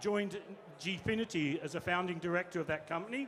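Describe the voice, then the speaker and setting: A man with a slight Australian accent speaks at a fairly quick pace with ordinary pitch variation. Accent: slightly Australian. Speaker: panel moderator, games industry executive. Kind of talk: panel introduction. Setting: stage with audience. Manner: fast.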